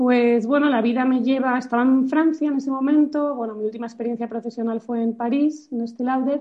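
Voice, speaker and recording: Her pitch high and her intonation monotone and flat, a woman speaks fairly quickly with hardly any pauses. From Spain, Madrid. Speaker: nonprofit founder. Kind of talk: interview. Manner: halting, with many repetitions.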